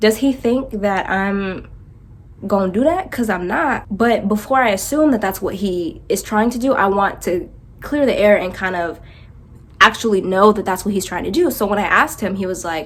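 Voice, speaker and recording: Speaking with an American accent, a woman talks at a moderate pace with a medium pitch and ordinary pitch variation. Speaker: vlogger. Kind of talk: storytelling. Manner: animated.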